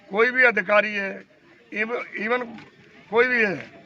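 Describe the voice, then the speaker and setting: Against noticeable background noise, a man speaks in a raised, projected voice. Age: 80s+. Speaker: war veteran. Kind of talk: interview.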